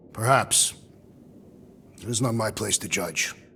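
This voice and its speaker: Someone in a raspy, put-on character voice speaks at a fairly slow pace over clear background noise. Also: man, medium pitch for a man. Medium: video game. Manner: formal, grave, literal.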